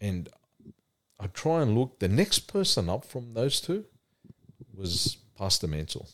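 A man with an Australian accent speaks at a fairly slow pace and medium pitch. His pitch swings very widely, and he takes long, frequent pauses. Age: 40s. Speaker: church youth mentor. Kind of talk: casual chat.

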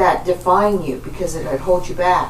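A woman talks with fairly even intonation at a fairly low pitch. Noticeable background noise runs under her voice. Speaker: podcast host. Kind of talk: scripted podcast intro and panel discussion.

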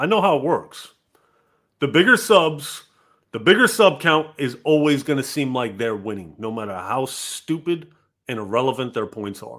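A man's fairly high voice with very wide pitch swings, in a very clean recording with a silent background. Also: moderate pace. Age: 40s. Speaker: gaming podcast host. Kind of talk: casual chat. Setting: live stream.

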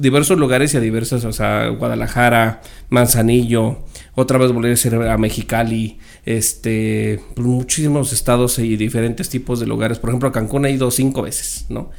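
A man has an ordinary speaking voice at a medium pitch. He talks at a fairly slow pace with fairly even intonation. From Mexico City and Sonora. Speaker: podcast guest. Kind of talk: casual chat.

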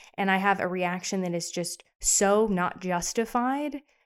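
A woman's ordinary speaking voice at medium pitch with an American accent and ordinary pitch variation, in a very clean recording with a silent background. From US South. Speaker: podcast co-host. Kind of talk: casual chat.

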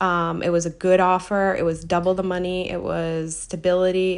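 Speaking with an American accent, a woman keeps her intonation monotone and flat. Her pace is moderate. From United States. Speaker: podcast host. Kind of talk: solo monologue answering listener question.

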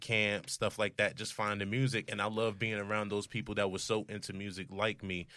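On a very clean recording with a silent background, a man with an American accent speaks at a fairly low pitch in a bright, sharp tone with monotone, flat intonation. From New Jersey, Roselle. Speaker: music producer and rapper. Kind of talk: casual chat.

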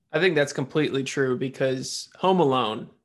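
Against a quiet background, a man talks with a plain, everyday voice. His pitch is fairly high, with ordinary pitch variation. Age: 20s. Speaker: podcast host. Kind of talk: casual chat.

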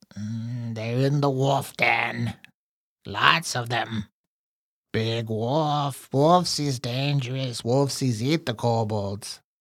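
A man speaks at a very slow pace in a put-on character voice of medium pitch, on a very clean recording with a silent background. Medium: actual play. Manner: broken speech, talks of himself in third person; frightened, pleading, eager to bargain.

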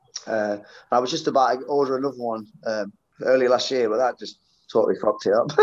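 In a Yorkshire accent, a man talks at a very fast pace. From Sheffield, England. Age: 40s. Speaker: professional session drummer. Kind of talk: casual interview chat. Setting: at a gig venue.

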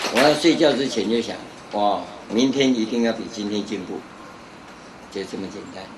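A man speaks at a medium pitch and a moderate pace, with ordinary pitch variation, big swings in loudness, and long, frequent pauses, over noticeable background noise and audible room echo. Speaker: Buddhist monk teacher. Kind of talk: dharma lecture. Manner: conversational with frequent filler particles.

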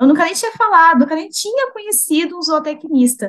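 A woman's high voice swings very widely in pitch as she talks at a moderate pace. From São Paulo state, Brazil (Itaquaquecetuba). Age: 20s. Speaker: animal science student. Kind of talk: casual interview.

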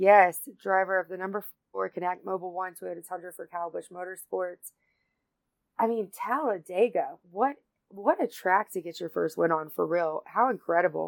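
A woman with a Southern US accent makes big swings in loudness, in a dry, close sound with no echo. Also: medium pitch for a woman, ordinary pitch variation, moderate pace. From North Carolina. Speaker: podcast host. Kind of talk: casual chat.

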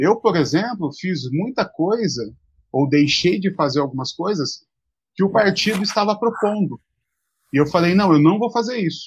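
Lively intonation and a high pitch mark a man's voice as he talks at a moderate pace. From São Paulo state, Brazil (Mogi das Cruzes). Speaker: pastor. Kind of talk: live-stream interview.

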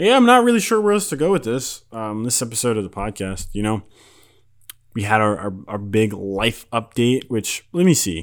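On a very clean recording with a silent background, a man with an ordinary speaking voice talks at medium pitch and a moderate pace, using ordinary pitch variation. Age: 20s. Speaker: music podcast host. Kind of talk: casual solo podcast monologue. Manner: casual, rambling with frequent repetitions and fillers.

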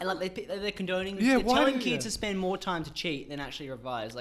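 A man speaks at a high pitch, with very wide pitch swings. His pace is fairly quick, and noticeable background noise is present. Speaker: podcast co-host; university student. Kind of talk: casual, profane.

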